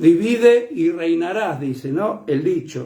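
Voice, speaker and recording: Over audible room echo, a high-pitched man talks at a very slow pace with lively intonation. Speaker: preacher. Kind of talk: sermon. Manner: loud; soft-spoken usually.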